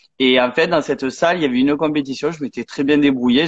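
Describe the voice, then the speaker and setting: A man talks in an unremarkable speaking voice. His pitch is fairly high and his intonation fairly even. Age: 20s. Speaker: athlete and sports coach. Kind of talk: interview. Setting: live online stream.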